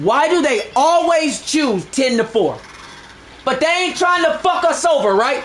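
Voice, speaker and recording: With noticeable background noise and audible room echo, a man speaks at an extremely high pitch and a fairly slow pace, his tone animated and his intonation lively while his loudness stays very even. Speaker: gaming streamer. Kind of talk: live stream rant.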